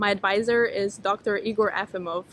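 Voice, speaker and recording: A woman's fairly high-pitched voice. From Estonia. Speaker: PhD student researcher. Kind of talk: self-introduction talk. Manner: halting.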